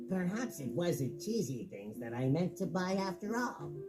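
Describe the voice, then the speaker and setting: Over loud background music, a man does a put-on character voice, pitched high and delivered at a moderate pace. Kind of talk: children's story reading. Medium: read story. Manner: cheerful, friendly.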